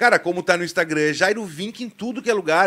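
Against a quiet background, a man speaks high in pitch. His tone is animated and his pace fairly quick. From Rio Grande do Sul, Brazil. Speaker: football YouTuber, Internacional fan; football YouTuber. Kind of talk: live stream chat with viewers. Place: studio. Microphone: studio mic.

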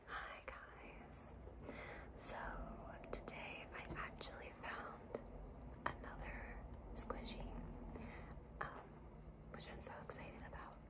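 Loud background noise fills the clip as a woman speaks very slowly. She leaves long, frequent pauses. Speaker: ASMR creator. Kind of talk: ASMR talk to camera. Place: home room. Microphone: phone near.

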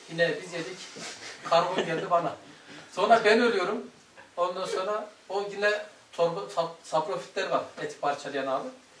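A man's high pitch, fairly even intonation and moderate pace, with audible room echo and light background noise. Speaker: religious study teacher. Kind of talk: lecture. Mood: relaxed, conversational. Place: home room.

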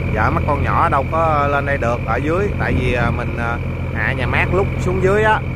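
Loud background noise around a man's dry voice with no echo. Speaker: boat operator vlogger. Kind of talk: casual vlog chat. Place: boat.

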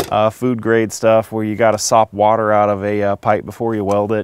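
At a fairly quick pace, a man with a fairly low pitch speaks in a dry sound with no echo. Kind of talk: casual vlog chat. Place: street. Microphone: phone near.

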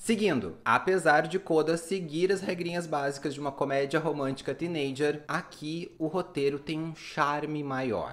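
A man's fairly high voice at a fairly slow pace, with ordinary pitch variation and hardly any pauses. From Brazil. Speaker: YouTube film reviewer. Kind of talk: film review monologue. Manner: animated. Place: home room.

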